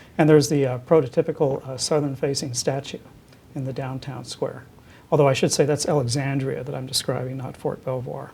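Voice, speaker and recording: This man's voice sits fairly high in pitch, with vocal fry and a dark, mellow tone. His monotone, flat intonation comes at a fairly quick pace with big swings in loudness. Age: 60s. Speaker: university president and physician. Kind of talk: oral history interview. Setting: office. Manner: hesitant, many fillers and repetitions.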